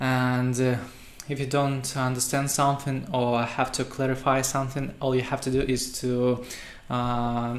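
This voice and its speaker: A man talks at medium pitch in a flat, monotone way. Room echo is audible. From Russia, Saint Petersburg. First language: Russian. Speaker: web developer. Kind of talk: tutorial. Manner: halting, many fillers.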